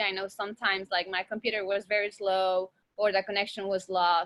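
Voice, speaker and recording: A woman with a Mexican accent, medium pitch and a bright, sharp tone, at a moderate pace. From Mexico, Torreon. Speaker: teacher. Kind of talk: online class lecture. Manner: casual, hesitant with fillers.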